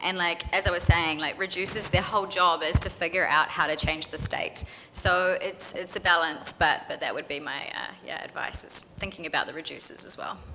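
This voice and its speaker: A woman speaks fairly quickly at a fairly low pitch, in a flat monotone. Her loudness swings a lot, with noticeable background noise. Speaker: software developer. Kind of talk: conference panel answers.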